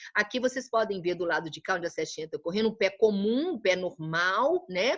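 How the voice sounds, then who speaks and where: The background stays quiet while a woman speaks. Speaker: art teacher. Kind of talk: lecture. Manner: halting.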